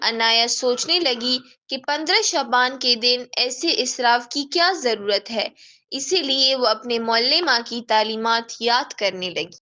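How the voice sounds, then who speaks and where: This woman's voice is high in pitch with a bright, sharp tone. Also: ordinary pitch variation. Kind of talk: children's story narration.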